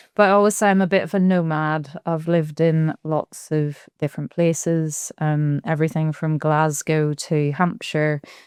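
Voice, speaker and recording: In a Belfast accent, the speaker talks at a moderate pace with hardly any pauses and fairly even intonation, the sound dry and close with no echo over a quiet background. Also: woman, very deep, low pitch for a woman. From Belfast, Northern Ireland. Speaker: business efficiency consultant. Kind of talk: podcast interview.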